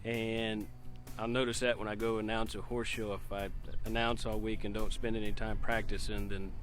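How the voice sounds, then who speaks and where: A man speaking at a fairly quick pace, with music in the background. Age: young. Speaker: horse show announcer and auctioneer. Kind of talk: interview answer.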